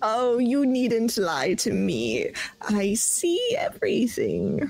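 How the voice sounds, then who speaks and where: A female-sounding voice performs a put-on character at a fairly high pitch. The delivery is very slow. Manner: knowing, mysterious, cackling.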